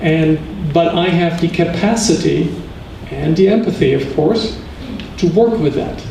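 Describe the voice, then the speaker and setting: A man's high voice, with audible room echo and noticeable background noise. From Germany. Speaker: physician and lecturer. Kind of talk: lecture Q&A.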